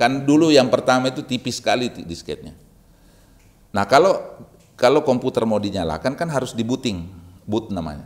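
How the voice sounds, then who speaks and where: The speaker has a Makassar accent and a fairly quick pace. The intonation is lively. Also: man. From Makassar, South Sulawesi, Indonesia. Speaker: university rector. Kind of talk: casual interview chat. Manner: halting.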